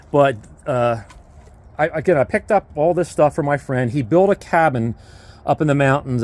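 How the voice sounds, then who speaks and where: A man talks at a moderate pace in a medium pitch, his pitch varying in an ordinary way. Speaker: homesteader and sawmill owner vlogger. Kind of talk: casual vlog walkthrough narration. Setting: outdoors. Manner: hesitant with fillers.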